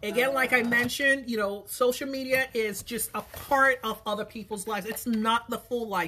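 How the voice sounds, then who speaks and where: A woman speaks at a high pitch with ordinary pitch variation. Noticeable background noise runs underneath. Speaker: small business owner and sewing vlogger. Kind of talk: casual talk while sewing. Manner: lowers voice when upset.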